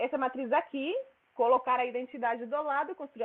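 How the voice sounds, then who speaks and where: Very fast pace with ordinary pitch variation. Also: woman. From Spain. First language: Spanish (speaking Portuguese). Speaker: mathematics researcher. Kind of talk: lecture. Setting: seminar room with audience.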